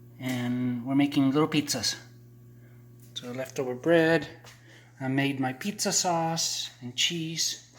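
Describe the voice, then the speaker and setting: A fairly high-pitched man at a very slow pace, with noticeable background noise. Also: long, frequent pauses, big swings in loudness. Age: 60s. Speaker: vlogger. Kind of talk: casual vlog narration. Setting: outdoors. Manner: animated.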